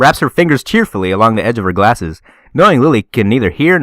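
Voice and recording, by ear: Some reading aloud in a natural voice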